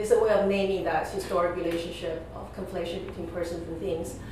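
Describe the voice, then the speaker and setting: Speaking at a fairly quick pace, a woman has a fairly low pitch and ordinary pitch variation. There is strong room echo and light background noise. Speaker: guest. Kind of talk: interview answer.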